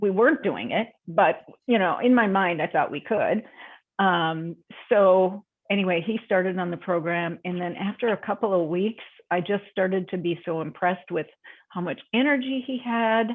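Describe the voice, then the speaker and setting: In a normal speaking voice with an American accent, the speaker talks at a moderate pace with ordinary pitch variation. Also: woman, medium pitch for a woman. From Minnesota. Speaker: health and wellness coach. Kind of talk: interview answer. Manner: casual, chatty.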